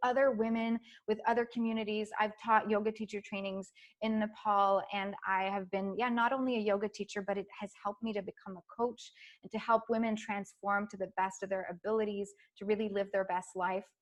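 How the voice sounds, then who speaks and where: A woman's fairly high voice, fairly quick in pace and animated in tone. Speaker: life coach and yoga teacher. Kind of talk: online masterclass presentation. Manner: fast.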